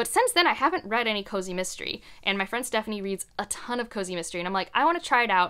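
A woman with an American accent speaks at a very fast pace and medium pitch, in a bright, sharp, animated tone. The background is quiet. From US Midwest, Ohio. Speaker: book content creator. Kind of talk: casual monologue to camera. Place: home room.

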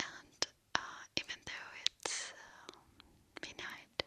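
A woman whispers her words at a fairly slow pace. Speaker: ASMR creator. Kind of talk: casual soft-spoken chat. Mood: happy, cheerful. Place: home room. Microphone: studio mic.

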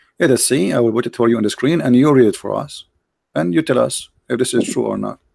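A man speaks at a very fast pace. He has an Arabic accent. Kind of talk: heated debate. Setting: Skype call livestream. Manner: animated; mocking.

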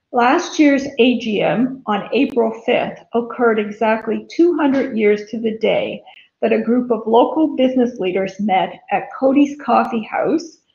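With audible room echo, a woman speaks fairly slowly in a high pitch with ordinary pitch variation. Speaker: chamber chair giving report. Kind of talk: formal report speech. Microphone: webcam.

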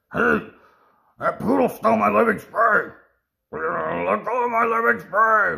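A man in a put-on character voice projects a raised, raspy delivery at very even loudness and a fairly slow pace, with long, frequent pauses. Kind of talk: reading a comic aloud with character voices. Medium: read story. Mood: indignant.

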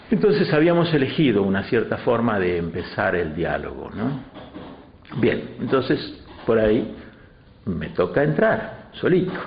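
A man talks at a fairly slow pace, and room echo is audible. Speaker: interviewee. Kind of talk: interview answer. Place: meeting room.

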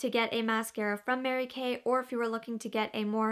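Over a quiet background, a woman talks fairly quickly with fairly even intonation. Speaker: beauty vlogger. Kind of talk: casual product review chat. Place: home room.

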